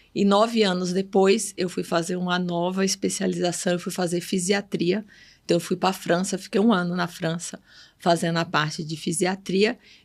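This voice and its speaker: In a northeastern Brazilian accent, the speaker moves at a moderate pace on a very clean recording with a silent background. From Bahia, Brazilian Northeast. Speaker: pediatric neurologist. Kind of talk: podcast interview.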